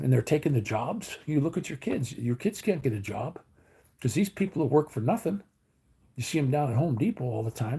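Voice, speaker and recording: Speaking at a fairly quick pace with an American accent, a man uses a fairly high pitch with very wide pitch swings, a dark, mellow tone and vocal fry, in a very clean recording with a silent background. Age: 60s. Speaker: livestreamer. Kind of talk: casual livestream chat. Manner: rambling conversational.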